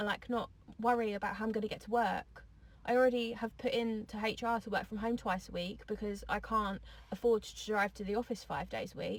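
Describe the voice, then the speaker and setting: With an English accent, a woman speaks fairly quickly and somewhat breathily. Her pitch is fairly high, with ordinary variation. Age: 20s. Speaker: social media poster. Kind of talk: angry rant.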